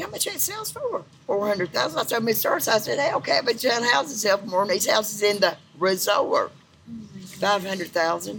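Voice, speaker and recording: A woman speaks at a fairly quick pace. Noticeable background noise runs under her voice. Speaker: neighborhood native interviewee. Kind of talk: casual chat, storytelling. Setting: outdoors, mill courtyard. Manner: talkative, laughing.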